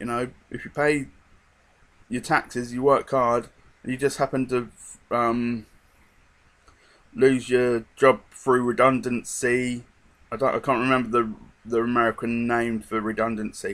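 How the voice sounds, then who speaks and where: Speaking at a fairly slow pace with long, frequent pauses, a man with a slight British accent keeps a medium pitch and a monotone, flat intonation. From England. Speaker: vlogger. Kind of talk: casual monologue. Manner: hesitant, many fillers.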